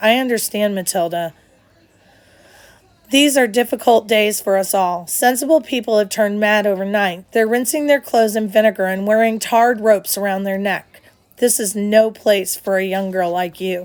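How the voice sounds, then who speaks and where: A woman puts on a growling character voice at a medium pitch and a moderate pace. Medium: read story. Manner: authoritative, brusque.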